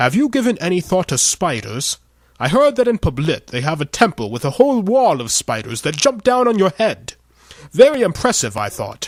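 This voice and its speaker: A man's put-on character voice, high-pitched, with very wide pitch swings and a moderate pace, in a dry, close sound with no echo. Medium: read story. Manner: indignant, self-important.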